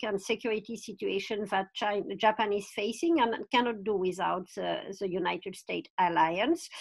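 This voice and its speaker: At a moderate pace, a woman speaks with a French accent. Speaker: foreign policy expert. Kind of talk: panel discussion. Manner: hesitant, many fillers.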